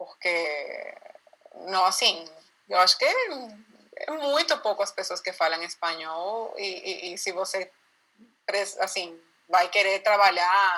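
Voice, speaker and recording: A woman speaks at a very slow pace with a non-native accent. Her speech has long, frequent pauses. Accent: foreign accent in Portuguese. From Venezuela, Lara state (Barquisimeto). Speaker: Venezuelan immigrant interviewee. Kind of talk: casual interview chat.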